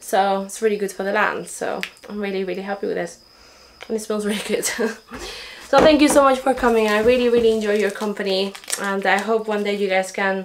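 Moderate speed and fairly even intonation from a woman, with noticeable background noise behind her. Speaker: homesteading vlogger. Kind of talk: casual vlog chat. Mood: cheerful, grateful. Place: home room. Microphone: camera far.

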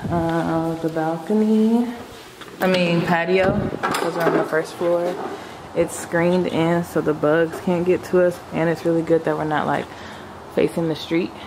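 Noticeable background noise sits behind a woman with a fairly low pitch. She talks at a fairly slow pace with fairly even intonation. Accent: American. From Chicago. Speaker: vlogger. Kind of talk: casual vlog. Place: home room. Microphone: phone near.

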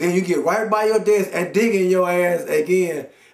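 Audible room echo surrounds the voice. The pace is fairly quick. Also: man. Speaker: comedian. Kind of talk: comedic monologue rant. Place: home room. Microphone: camera far.

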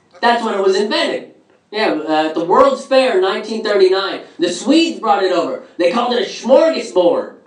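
A man's lively intonation at a moderate pace, with audible room echo and a quiet background. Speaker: stand-up comedian. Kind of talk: stand-up comedy. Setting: stage with live audience. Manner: conversational, rhetorical 'right?' tags, some stumbling starts. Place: stage.

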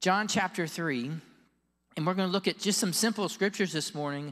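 Southern US accent over a quiet background. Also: man. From Florida. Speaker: pastor. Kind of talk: sermon. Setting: church. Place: church. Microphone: handheld.

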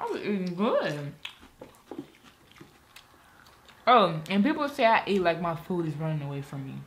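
Light background noise accompanies a woman at a moderate pace. Her pitch is fairly low. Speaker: mukbang vlogger. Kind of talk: casual vlog chat while eating. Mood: relaxed, chatty. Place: home room. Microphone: camera far.

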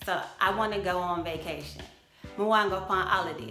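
A woman with a relaxed tone speaks in a room with audible echo as faint music plays in the background. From Jamaica. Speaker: vlogger. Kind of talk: casual talk to camera. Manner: chatty, relaxed. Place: home room. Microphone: phone near.

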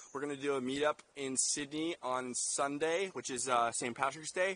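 A man talks at a moderate pace with fairly even intonation. His tone is bright and sharp, and the sound is dry with no echo. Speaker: travel vlogger. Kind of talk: casual vlog chat. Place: forest. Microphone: phone near.

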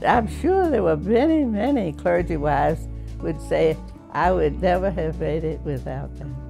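At a fairly slow pace, a woman talks while clear music plays behind her. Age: 80s+. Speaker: clergy widow. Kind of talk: interview answer. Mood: warm, fond, cheerful. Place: home room.

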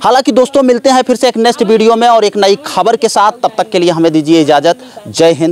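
A man at a moderate pace with lively intonation, dry sound with no echo and light background noise. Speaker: local news reporter. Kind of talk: news report sign-off. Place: open country. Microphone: handheld.

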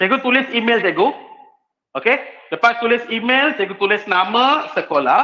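Raising and projecting his voice, a man speaks at an extremely high pitch with lively intonation over a quiet background. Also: moderate pace. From Malaysia. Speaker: teacher giving a workshop talk. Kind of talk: online workshop lecture. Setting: video call. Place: classroom.

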